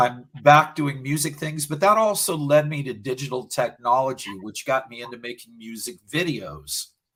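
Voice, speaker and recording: Here is a man with an unremarkable speaking voice, fairly high in pitch with ordinary variation. He talks at a fairly slow pace. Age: 60s. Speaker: video producer, small business owner. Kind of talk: interview.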